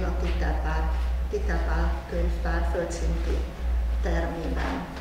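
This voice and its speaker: A woman speaks at a very slow pace amid strong room echo and noticeable background noise. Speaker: university dean. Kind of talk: press conference presentation. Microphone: podium.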